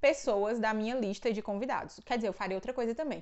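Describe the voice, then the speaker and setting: The background is quiet as a woman talks. Her voice is fairly high, with ordinary pitch variation. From Brazil, Ceará (Northeast). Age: 20s. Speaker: book and theology YouTuber; YouTuber. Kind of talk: casual Q&A vlog. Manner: casual, chatty with fillers. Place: home room. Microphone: lapel.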